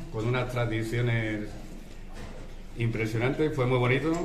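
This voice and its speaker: This man talks at a moderate pace. Light background noise and audible room echo surround him. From Cáceres, Extremadura, Spain. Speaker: Civil Guard captain. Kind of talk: farewell speech. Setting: public event with audience. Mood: grateful, warm. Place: cafe. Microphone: camera far.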